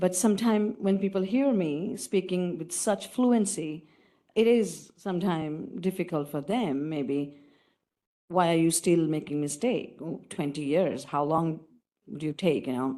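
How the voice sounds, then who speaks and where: A woman speaks with a non-native accent. Her intonation is lively, at a fairly slow pace. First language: not English. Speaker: audience member asking question, diversity officer. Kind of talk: audience question at panel.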